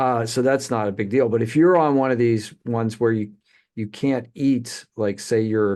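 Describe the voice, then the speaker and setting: A man with an ordinary speaking voice, medium-pitched, at a moderate pace with ordinary pitch variation over a quiet background. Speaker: podcast host. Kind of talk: casual chat.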